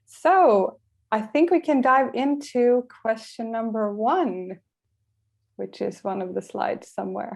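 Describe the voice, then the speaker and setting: Her pitch is fairly high and her intonation lively. This woman speaks at a very slow pace. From Sweden. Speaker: career coach. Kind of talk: webinar presentation.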